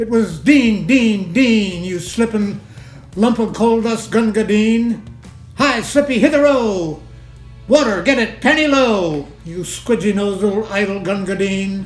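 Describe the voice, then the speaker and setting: A man speaks at a fairly slow pace with a high pitch and ordinary pitch variation. Music plays in the background. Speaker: poetry reader. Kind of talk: poetry reading.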